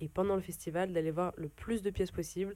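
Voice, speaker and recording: A woman speaks at a moderate pace in a fairly low pitch with a dark, mellow tone. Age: young. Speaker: young reporter. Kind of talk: casual radio chat.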